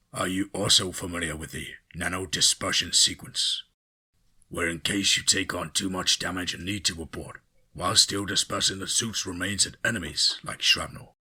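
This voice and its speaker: Using a put-on character voice, a man speaks raspy and very deep at a moderate pace. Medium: read story. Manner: formal, authoritative.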